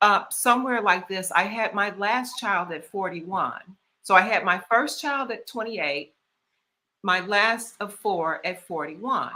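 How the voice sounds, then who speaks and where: In a Southern US accent, a woman talks at a fairly slow pace. Her pitch is medium, with ordinary variation. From US South. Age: 60s. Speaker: author and lifestyle strategist. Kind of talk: casual interview.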